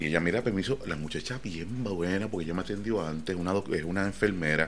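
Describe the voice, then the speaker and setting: Very deep, low male speech delivered fairly quickly. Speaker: podcast host. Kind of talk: casual chat. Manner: animated.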